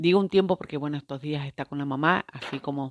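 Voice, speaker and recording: At a fairly quick pace, a woman speaks in a very deep, low pitch, and the sound is dry and close with no echo. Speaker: spiritual teacher. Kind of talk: video monologue. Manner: halting, many fillers.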